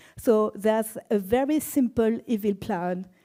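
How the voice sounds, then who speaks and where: In a very clean recording with a silent background, a woman with a French accent speaks in a dark, mellow tone with ordinary pitch variation. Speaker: database expert and conference speaker. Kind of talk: conference talk.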